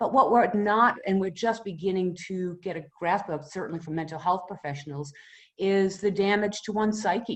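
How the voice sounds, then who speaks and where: Speaking with a Boston accent at a moderate pace, a woman uses a fairly low pitch with ordinary pitch variation. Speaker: retired mental health professional. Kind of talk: informal talk to a community group.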